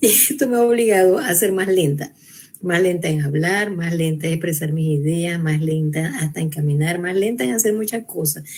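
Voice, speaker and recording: A woman's fairly low voice at a moderate pace, with ordinary pitch variation, noticeable background noise, and audible room echo. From Venezuela. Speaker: researcher and university educator. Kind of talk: panel talk. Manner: hesitant, with false starts.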